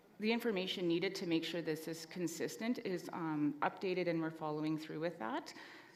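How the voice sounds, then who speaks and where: Over noticeable background noise, a soft-spoken woman talks at a fairly low pitch. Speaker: assembly delegate. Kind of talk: formal meeting debate.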